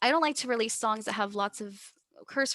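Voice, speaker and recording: A woman with a Texas accent speaks at a moderate pace in a fairly high pitch. Her tone is bright and sharp, and the recording is very clean with a silent background. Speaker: musician. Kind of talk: casual chat. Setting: podcast interview. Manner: animated.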